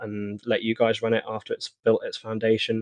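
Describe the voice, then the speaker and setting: A man speaks with a British accent at a fairly quick pace. His pitch is medium. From Britain. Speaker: online gaming community leader. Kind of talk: interview.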